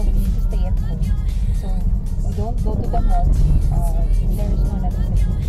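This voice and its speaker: The speech moves at a moderate pace with a dry sound and no echo. Loud music plays in the background. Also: woman. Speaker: vlogger. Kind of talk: casual vlog chat. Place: car. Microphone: phone near.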